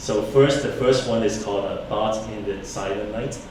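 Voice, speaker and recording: Amid noticeable background noise and audible room echo, a man talks at a moderate pace with a fairly low pitch and fairly even intonation. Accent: Cantonese. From Hong Kong. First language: Cantonese. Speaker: engineer and songwriter, poetry reader. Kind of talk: personal introduction at a poetry event. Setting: library auditorium with audience. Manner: halting, many fillers.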